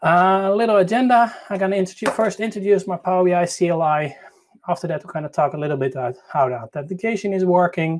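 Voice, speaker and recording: A man with a Dutch accent talks at a very fast pace in a high pitch, with ordinary pitch variation. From Netherlands. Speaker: tech conference speaker. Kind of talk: conference talk. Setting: online live session. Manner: halting; shaky voice.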